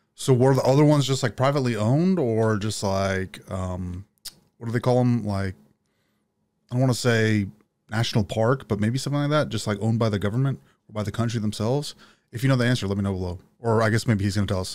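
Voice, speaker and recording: A man with an American accent, medium pitch, ordinary pitch variation and a very fast pace. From Texas (Dallas). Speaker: YouTube reaction video creator. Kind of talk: casual reaction commentary. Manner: casual, animated. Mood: reflective, curious. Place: home room. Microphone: studio mic.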